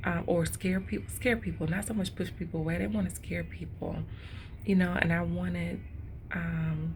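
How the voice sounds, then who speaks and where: A woman's whisper at a moderate pace, with audible room echo. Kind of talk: devotional vlog. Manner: whispering; casual, conversational.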